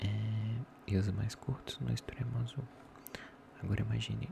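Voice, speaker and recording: A man's voice over noticeable background noise. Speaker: ASMR content creator. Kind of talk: ASMR soft-voice book reading. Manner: soft-spoken, relaxing, not whispered.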